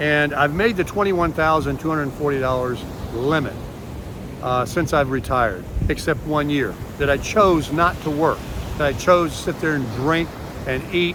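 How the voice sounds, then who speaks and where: Noticeable background noise sits under a man's fairly high voice. He speaks at a moderate pace with ordinary pitch variation. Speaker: retiree vlogger. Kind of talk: casual vlog monologue. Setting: outdoors on a beach.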